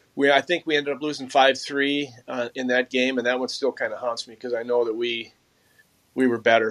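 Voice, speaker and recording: A man at a fairly quick pace, monotone and flat in intonation, with big swings in loudness, in a dry, close sound with no echo. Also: medium pitch for a man. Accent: Upper Midwest. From Minnesota, Mounds View. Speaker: former pro hockey player and shooting coach. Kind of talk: casual interview.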